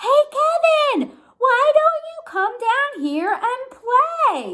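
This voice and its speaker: In a put-on character voice, a woman speaks loudly and very slowly, squeaky and extremely high-pitched, with very wide pitch swings. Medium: read story. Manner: loud, cheery.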